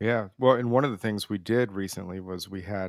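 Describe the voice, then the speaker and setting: A man with an American accent speaks in an ordinary speaking voice at a fairly low pitch, his intonation fairly even, in a dry, close recording with no echo that is very clean with a silent background. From Arizona (Tucson). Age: 30s. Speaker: podcast co-host, cellist. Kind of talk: casual chat.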